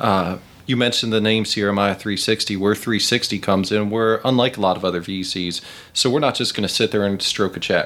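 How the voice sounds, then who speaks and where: With an American accent, this man has an unremarkable speaking voice, a fairly low pitch, a moderate pace, and very even loudness. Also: fairly even intonation. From Charlotte area, North Carolina. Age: 30s. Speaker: venture capitalist, startup mentor. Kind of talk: interview conversation. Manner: casual.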